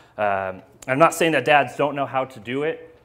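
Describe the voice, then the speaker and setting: Music plays in the background as a man speaks at a moderate pace. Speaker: speaker. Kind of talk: sermon. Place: hall.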